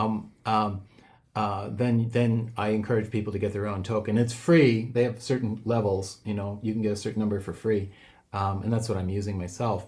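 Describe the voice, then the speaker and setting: With audible room echo around him, a man talks at a fairly quick pace in a somewhat breathy, fairly low voice with fairly even intonation. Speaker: software developer presenting his tool. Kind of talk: online seminar tutorial. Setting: Zoom video call. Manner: fast; halting, many fillers.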